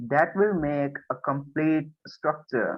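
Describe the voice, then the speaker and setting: A man speaks with a Rajasthani accent at a very slow pace. His pitch is fairly high, with ordinary variation. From India, Rajasthan. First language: Marwari. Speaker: language learner. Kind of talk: interview.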